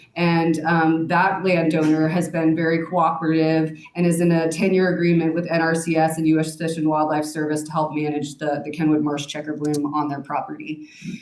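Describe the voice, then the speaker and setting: Amid noticeable background noise and audible room echo, a woman talks at a fairly quick pace in a monotone, flat way, with hardly any pauses. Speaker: plant nursery manager. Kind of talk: lecture. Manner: loud.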